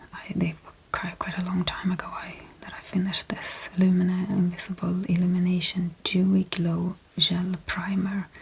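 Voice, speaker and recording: Soft-spoken and flat in intonation, a woman with a Swedish accent talks at medium pitch and a moderate pace, her loudness swinging widely amid noticeable background noise. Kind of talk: ASMR product haul talk to camera.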